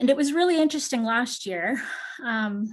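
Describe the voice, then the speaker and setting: Over a quiet background, a woman talks at a fairly quick pace. Her pitch variation is ordinary. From Canada. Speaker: PhD researcher presenting at a conference. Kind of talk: academic conference presentation. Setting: video call.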